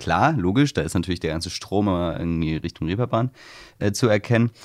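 Very fast speech comes from a man. His voice is very deep and low. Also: very clean recording, silent background. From Hamburg, Wilhelmsburg. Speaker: podcast host. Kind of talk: interview.

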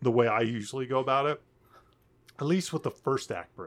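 A man with a Baltimore accent. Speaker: screenwriting podcast co-host. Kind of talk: casual chat.

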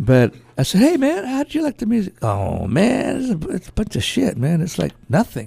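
The man speaks at a moderate pace with hardly any pauses, and the sound is dry and close with no echo. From West Texas, El Paso area; raised in Bakersfield. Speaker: artist and musician. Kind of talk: interview. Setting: radio studio. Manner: halting.

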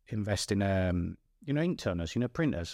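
Here is a man with a northern English accent. The recording is very clean, with a silent background. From northern England. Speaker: former footballer turned mountain climber. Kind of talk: casual chat.

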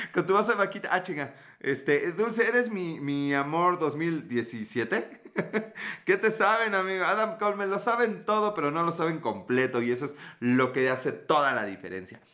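Speaking at a moderate pace, a man uses a high-pitched, bright, sharp tone that is animated and swings very widely in pitch. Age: 30s. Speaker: livestreamer and online teacher. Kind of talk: casual livestream chat with viewers. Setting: live video stream from home.

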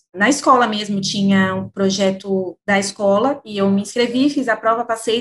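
This woman's voice sits fairly high and is somewhat breathy. She talks at a moderate pace with ordinary pitch variation. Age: 20s. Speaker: company employee in public sales team. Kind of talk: interview.

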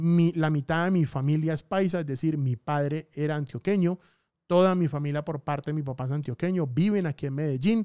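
A fairly high-pitched man talks at a fairly quick pace with ordinary pitch variation, the sound dry and close with no echo on a very clean recording against a silent background. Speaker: podcast host, digital marketing. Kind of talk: casual monologue. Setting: studio. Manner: varies speed and pitch for emphasis.

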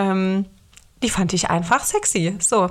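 The recording is very clean, with a silent background. A woman speaks at a medium pitch and a fairly slow pace, her intonation monotone and flat. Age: 20s. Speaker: singer-songwriter podcast host. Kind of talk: solo podcast monologue.

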